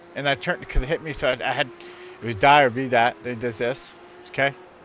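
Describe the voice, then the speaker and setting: Speaking in an American accent, the man has a fairly high pitch. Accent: New York accent when angry. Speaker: sim racing streamer. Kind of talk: gameplay commentary. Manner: animated.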